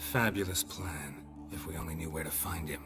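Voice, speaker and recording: A man's put-on character voice in a deadpan tone, over loud music in the background. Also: moderate pace. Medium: video game. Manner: terse, deadpan.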